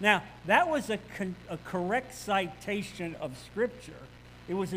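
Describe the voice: The pitch shifts with ordinary variation. It is plain reading aloud.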